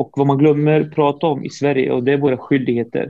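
Delivered at a fairly quick pace, a man's dark, mellow voice stays monotone and flat. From Syria, raised in Sweden from age four. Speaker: public speaker. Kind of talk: interview. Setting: video call. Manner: halting.

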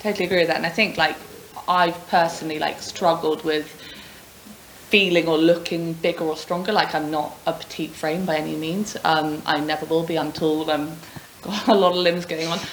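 Over noticeable background noise and audible room echo, a woman speaks at a fairly quick pace in a fairly low pitch with monotone, flat intonation. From England, Oxford. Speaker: gym member, fitness competition finalist. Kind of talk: casual chat.

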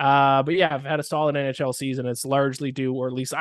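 The background is quiet, and the sound is dry and close with no echo. A man with a plain, everyday voice and fairly high pitch speaks at a fairly quick pace. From Canada. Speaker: sports betting analyst. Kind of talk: casual chat.

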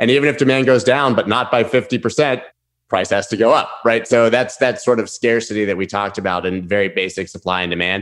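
Against a quiet background, a man with an ordinary speaking voice talks at a fairly quick pace and fairly low pitch, with ordinary pitch variation. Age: 40s. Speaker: crypto trader and former DJ. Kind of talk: interview.

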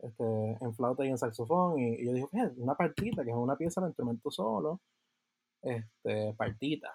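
An unremarkable speaking voice from a man at medium pitch with ordinary pitch variation, a dry, close sound with no echo, and a very clean recording with a silent background. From Puerto Rico (Yauco). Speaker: composer and podcast co-host. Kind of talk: interview.

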